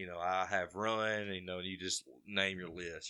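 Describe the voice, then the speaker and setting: In an Alabama accent, a man speaks at a fairly slow pace with a very deep, low pitch and a bright, sharp tone. The recording is very clean, with a silent background. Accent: Southern US (Alabama). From Alabama (Carbondale). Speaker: moonshiner, distilling competition winner. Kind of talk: casual interview chat.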